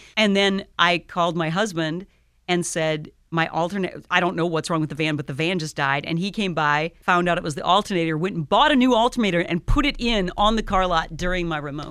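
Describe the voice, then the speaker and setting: An ordinary speaking voice with an American accent moves at a fairly quick pace with ordinary pitch variation on a very clean recording with a silent background. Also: woman, fairly low pitch for a woman. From Iowa. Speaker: radio station manager. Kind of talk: casual interview chat. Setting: radio studio.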